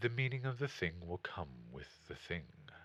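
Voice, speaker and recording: A man performs a put-on character voice with a very deep, low pitch. He speaks at a moderate pace with very wide pitch swings. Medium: read story. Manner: gentle, calm.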